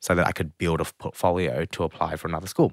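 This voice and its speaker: A man with an Australian accent speaks at a very fast pace with a very deep, low pitch. The recording is very clean, with a silent background and a dry, close sound with no echo. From Australia, Melbourne (Springvale). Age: 20s. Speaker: cook and TV presenter. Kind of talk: interview.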